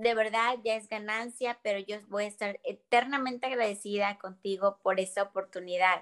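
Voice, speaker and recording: A woman's fairly high-pitched voice at a fairly slow pace, with ordinary pitch variation. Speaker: stage actress. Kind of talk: casual interview.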